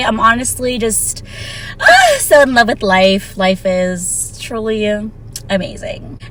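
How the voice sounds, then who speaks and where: Against noticeable background noise, a woman with a fairly high pitch talks at a fairly slow pace. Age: 30s. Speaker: vlogger. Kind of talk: casual vlog monologue. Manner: casual, conversational.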